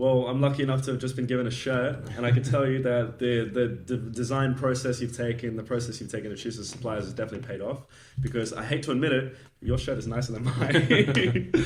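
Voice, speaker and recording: A man talks at a very fast pace, somewhat breathy and monotone in his flat intonation. Audible room echo surrounds his voice. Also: medium pitch for a man. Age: 20s. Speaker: podcast host. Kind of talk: casual interview. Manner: casual.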